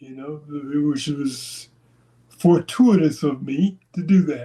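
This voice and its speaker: Speaking very slowly, a man with a fairly high pitch and a dark, mellow, somewhat breathy tone shows ordinary pitch variation and big swings in loudness. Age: 60s. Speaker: interview guest, channel owner. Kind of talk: interview, casual personal storytelling. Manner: hesitant, with fillers and restarts.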